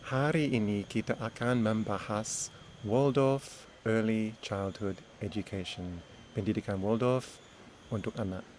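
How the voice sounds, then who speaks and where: Speaking at a very slow pace with a fairly low pitch, a man with an English accent uses ordinary pitch variation on a very clean recording with a silent background. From Australia. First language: English (speaking Indonesian). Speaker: education consultant and teacher. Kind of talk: lecture. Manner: halting.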